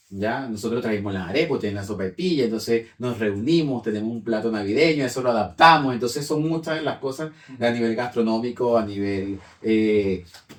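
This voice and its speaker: A man in a Venezuelan accent, fairly quick in pace, with ordinary pitch variation. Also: medium pitch for a man. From Venezuela, Yaracui state. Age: 30s. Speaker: language teacher. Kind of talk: casual conversation.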